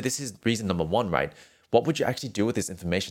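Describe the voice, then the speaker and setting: This very clean recording, with a silent background, captures a man speaking with lively intonation. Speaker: singing teacher and podcast host. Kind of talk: solo podcast monologue, educational talk. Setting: podcast, solo recording. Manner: friendly, conversational, explanatory.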